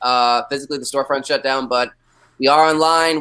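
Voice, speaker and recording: A loud voice with a bright, sharp tone and fairly even intonation. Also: man. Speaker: comic shop staff, trivia guest host. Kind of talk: live online trivia game hosting. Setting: live video stream.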